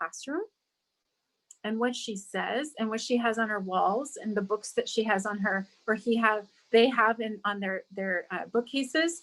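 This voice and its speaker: A woman speaks at a fairly slow pace. Her pitch is fairly high, with ordinary pitch variation. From California, near Santa Barbara, born abroad. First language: Spanish. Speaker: school district diversity director. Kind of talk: radio interview. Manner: repetitive, halting.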